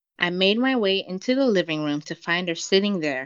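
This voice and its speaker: Speaking at a moderate pace, a woman with an American accent uses a plain, everyday voice at a fairly low pitch with lively intonation. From United States. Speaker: podcast guest reading own story. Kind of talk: reading aloud.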